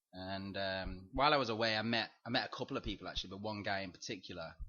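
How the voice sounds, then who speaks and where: Speaking at a very fast pace, a man with a northern English accent uses a fairly low pitch. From northern England, Chester/Manchester area. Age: 20s. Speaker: English teacher. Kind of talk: interview. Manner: halting, many fillers and repetitions.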